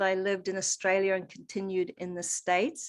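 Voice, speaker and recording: A woman speaks at a medium pitch and moderate pace with a slight New Zealand accent. The recording is very clean, with a silent background. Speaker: holistic coach. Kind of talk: interview.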